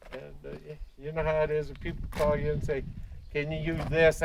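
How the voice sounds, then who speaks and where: A man with a fairly high pitch at a moderate pace, over noticeable background noise. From Western Colorado. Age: 70s. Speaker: artist. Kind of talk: casual tour talk. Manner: halting, many fillers.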